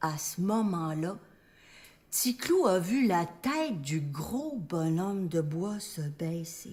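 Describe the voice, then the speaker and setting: Speaking very slowly with a Quebec accent, a woman uses a medium pitch, very wide pitch swings and a somewhat breathy voice. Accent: Québécois French. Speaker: storyteller. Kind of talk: live stage storytelling. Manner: humorous.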